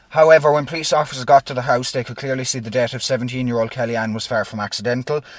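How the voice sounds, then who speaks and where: Very fast, almost pause-free speech from a man at medium pitch, with fairly even intonation over noticeable background noise. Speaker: true crime podcast co-host. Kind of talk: casual true crime storytelling.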